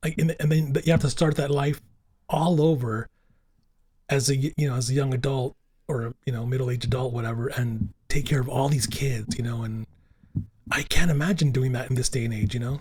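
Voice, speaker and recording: Somewhat breathy and animated in tone, the voice moves at a fairly quick pace with ordinary pitch variation and long, frequent pauses. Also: man, medium pitch for a man. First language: Italian and Spanish. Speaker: podcast host. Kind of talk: casual chat. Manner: animated, halting with many fillers.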